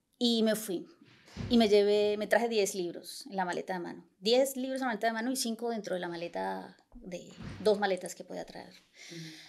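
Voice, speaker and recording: A woman with a Santander Colombian accent talks with big swings in loudness. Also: medium pitch for a woman, ordinary pitch variation, moderate pace. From Bucaramanga, Colombia. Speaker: writer and engineer, novel author. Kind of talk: casual interview conversation.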